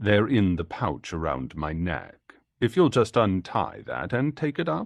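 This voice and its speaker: A man puts on a character voice that rumbles and growls. He speaks at a fairly slow pace with a fairly low pitch. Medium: read story.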